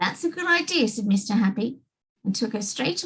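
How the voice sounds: Lively intonation in a natural reading voice, against a quiet background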